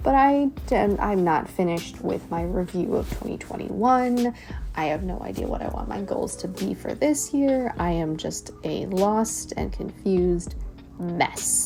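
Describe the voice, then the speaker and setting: Noticeable background noise surrounds a woman talking fairly slowly. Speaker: bullet journaling YouTuber. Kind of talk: casual voiceover. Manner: halting, hesitant.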